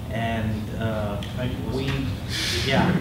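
A man's speech carries audible echo from the room along with noticeable background noise. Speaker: meetup host. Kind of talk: event introduction. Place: meeting room. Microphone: camera far.

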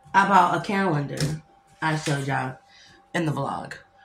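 Over music in the background, a woman talks in a fairly low pitch with audible room echo. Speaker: single mom vlogger. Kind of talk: casual vlog chat. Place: home room. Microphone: phone near.

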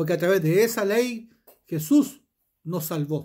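Very slowly, a man speaks over a quiet background. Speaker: preacher. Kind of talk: sermon with scripture reading, rhetorical questions to the listener and closing prayer. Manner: earnest, pastoral, exhorting the listener directly. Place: home room. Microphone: phone near.

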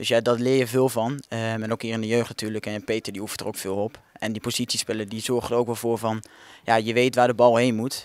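A man talks at a very fast pace. The sound is dry, with no echo. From Netherlands, Kampen (Overijssel); Netherlands. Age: young (18). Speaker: young football player. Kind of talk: interview. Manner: halting, many fillers and repetitions. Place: street. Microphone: handheld.

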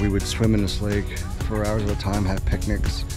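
Clear music plays in the background while the voice moves at a moderate pace, the sound dry with no echo. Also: man. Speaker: vlogger. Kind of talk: casual vlog chat. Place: waterside. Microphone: phone near.

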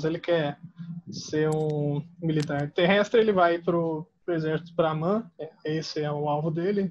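A man speaks at a fairly slow pace. His voice is high-pitched, with fairly even intonation. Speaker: podcast host, army veteran. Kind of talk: casual interview.

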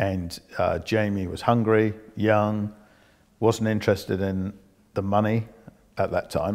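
Over a quiet background, a man speaks with fairly low pitch and fairly even intonation. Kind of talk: interview answer. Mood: calm, reflective. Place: home room. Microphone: lapel.

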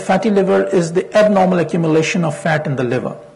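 Moderate-paced speech from a man. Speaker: physician; presenter. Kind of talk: lecture. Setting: stage with audience. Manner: formal. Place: hall. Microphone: lapel.

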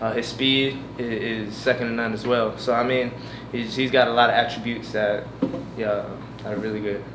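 Against noticeable background noise, a man speaks at a moderate pace in a monotone, flat intonation. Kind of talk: interview answer. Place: hall. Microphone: podium.

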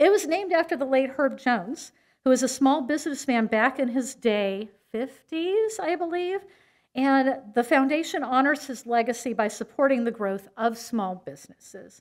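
Her pitch high, a woman speaks at a moderate pace. The background is quiet. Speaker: event host announcing awards. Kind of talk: award ceremony speech. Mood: warm, appreciative. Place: hall. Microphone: podium.

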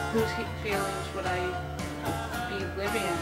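Over loud music in the background, a woman speaks at a fairly slow pace. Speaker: vlogger. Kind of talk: casual vlog chat. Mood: earnest, personal story. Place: home room. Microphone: old recording.

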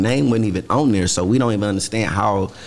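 Speaking very fast, a man with a Houston accent talks in a fairly low pitch. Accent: Southern US, Houston. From Texas. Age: 30s. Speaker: rapper. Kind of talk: casual chat. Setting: studio. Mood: relaxed, casual. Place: studio. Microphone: studio mic.

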